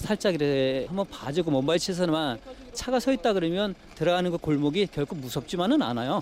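A man talks at a fairly quick pace with lively intonation. He has a normal speaking voice. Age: 40s. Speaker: taxi driver. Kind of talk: interview testimony.

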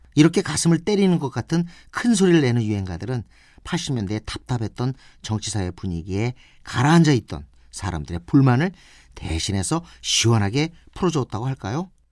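The recording is very clean, with a silent background. A man at medium pitch talks at a moderate pace, his pitch swinging very widely. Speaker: radio host and music critic. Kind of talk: scripted radio narration.

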